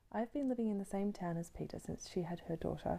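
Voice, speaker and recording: An Australian accent marks this woman's dark, mellow voice, which moves at a fairly quick pace. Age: 20s. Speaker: podcast host. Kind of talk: scripted narration.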